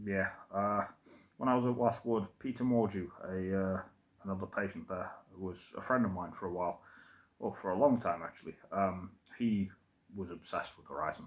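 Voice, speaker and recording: A man with an East Midlands accent and a fairly low pitch, ordinary pitch variation, a moderate pace, long and frequent pauses, and big swings in loudness. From England, Derby. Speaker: vlogger. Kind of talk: casual monologue. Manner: hesitant, many fillers.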